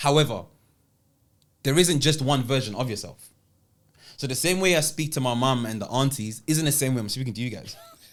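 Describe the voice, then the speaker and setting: Talking at a fairly quick pace in a South London accent, a man with a medium pitch leaves long, frequent pauses. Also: ordinary pitch variation. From South London, England (born in Italy, Ghanaian heritage). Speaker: public speaker and speaking coach. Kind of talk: podcast interview.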